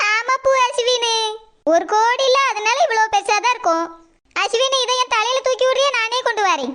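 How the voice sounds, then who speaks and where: A woman's cartoonish character voice at an extremely high pitch, with ordinary pitch variation, at a moderate pace. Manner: boastful, self-satisfied.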